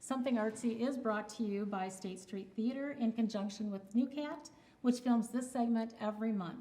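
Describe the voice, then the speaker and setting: Speaking at a moderate pace, a woman with a fairly high pitch and ordinary pitch variation uses an ordinary speaking voice. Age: 60s. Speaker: community TV show host. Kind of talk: scripted sign-off; casual interview chat.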